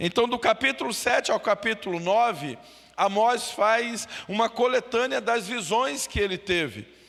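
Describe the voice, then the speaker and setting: The man speaks at a high pitch and a fairly slow pace, with ordinary pitch variation and very even loudness. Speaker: pastor. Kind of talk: Bible study.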